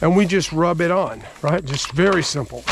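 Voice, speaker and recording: At a moderate pace, a man with a high pitch speaks with fairly even intonation. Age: 60s. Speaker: home cook. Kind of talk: cooking tutorial. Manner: casual.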